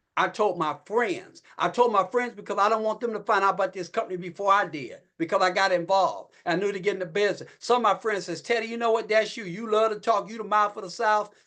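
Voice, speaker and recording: A man speaks in a high, raised, projected voice with a bright, sharp tone. He talks very fast with hardly any pauses and ordinary pitch variation. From Ohio. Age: 60s. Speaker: network marketing distributor. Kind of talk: motivational sales talk. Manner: animated.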